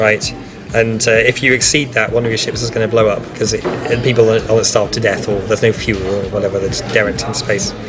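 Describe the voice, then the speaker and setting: A man at a medium pitch talks very fast with fairly even intonation while music plays in the background. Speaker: board game tutorial presenter. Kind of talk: board game rules explanation. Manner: casual, hesitant.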